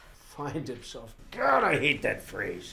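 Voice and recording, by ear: Putting on a character voice, a man speaks slowly at a medium pitch, with a bright, sharp tone, vocal fry and very wide pitch swings.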